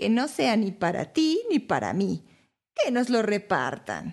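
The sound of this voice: Using a put-on character voice, a woman speaks at a fairly slow pace and medium pitch with very wide pitch swings, in a very clean recording with a silent background. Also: slightly mellow tone.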